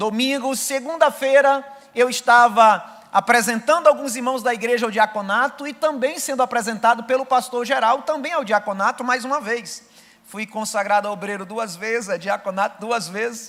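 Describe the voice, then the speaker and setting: A man's extremely high-pitched voice in a northeastern Brazilian accent, with ordinary pitch variation, at a moderate pace. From Brazilian Northeast, Rio Grande do Norte. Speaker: missionary preacher. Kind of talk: sermon with personal testimony. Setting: church service.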